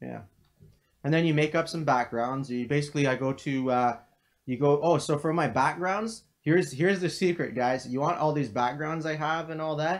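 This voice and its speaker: A man's fairly high voice at a moderate pace, with ordinary pitch variation. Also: quiet background. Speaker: crypto trading analyst streamer. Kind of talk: live stream Q&A. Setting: home live stream, living room. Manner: casual with many fillers.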